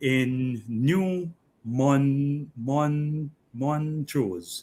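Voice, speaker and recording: The speaker is a man. His pitch is fairly high. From St. Vincent and the Grenadines (Bequia and mainland). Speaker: interview guest. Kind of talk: radio interview. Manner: halting.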